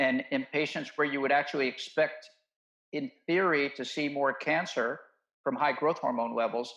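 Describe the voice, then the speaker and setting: This man has a normal speaking voice with a fairly high pitch and an American accent. His pitch varies in an ordinary way, and his pace is moderate. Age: 60s. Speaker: medical doctor. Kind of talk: interview conversation.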